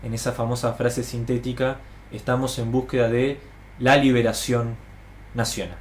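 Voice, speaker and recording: A somewhat breathy man talks at a fairly quick pace amid audible room echo. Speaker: political educator. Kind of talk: lecture. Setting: live stream to online audience.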